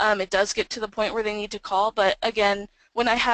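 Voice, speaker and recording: Recorded with a dry, close sound and no echo, a woman speaks at a fairly quick pace. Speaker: social engineering professional. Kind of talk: webinar presentation. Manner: fast.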